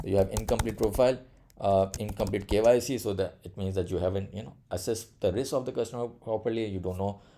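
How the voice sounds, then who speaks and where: Fairly low-pitched, a man talks at a very fast pace with big swings in loudness. His intonation stays fairly even. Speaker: compliance trainer. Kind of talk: tutorial. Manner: many fillers and hesitations.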